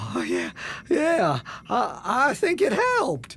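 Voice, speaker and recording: This is a put-on character voice with a nervous tone. It moves at a fairly slow pace. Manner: nervous, stammering.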